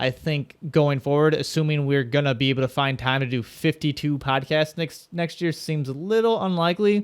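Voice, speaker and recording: Mumbling at a moderate pace, a man speaks with fairly high pitch and ordinary pitch variation. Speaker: podcast co-host. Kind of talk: casual chat.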